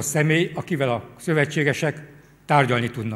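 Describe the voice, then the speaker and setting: A man's somewhat breathy voice, fairly high in pitch, with ordinary pitch variation. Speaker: military historian. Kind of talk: formal talk with consecutive interpretation. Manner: formal.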